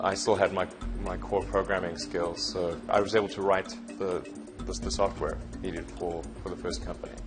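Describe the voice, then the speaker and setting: A man's very deep, low voice at a moderate pace, with very wide pitch swings and music in the background. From South Africa. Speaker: entrepreneur. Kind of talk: interview answer.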